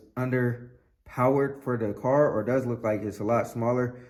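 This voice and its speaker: A man speaks at a medium pitch with fairly even intonation, and the room echo is audible. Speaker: car hobbyist YouTuber. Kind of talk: casual vlog tutorial. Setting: outdoors in cold garage. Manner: fast.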